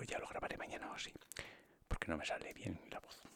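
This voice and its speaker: Someone whispers at a fairly quick pace. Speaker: ASMR creator. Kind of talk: ASMR soft-spoken ramble. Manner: soft-spoken, normal voice not whisper.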